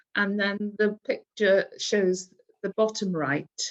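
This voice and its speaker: Very slowly, a woman speaks with a Welsh accent. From Aberystwyth, Wales. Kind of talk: interview answer.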